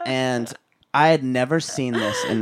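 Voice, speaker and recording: This man speaks in a Californian accent. His tone is animated. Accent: Californian American. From Southern California, Orange County. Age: 20s. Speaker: podcast host. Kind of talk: casual chat.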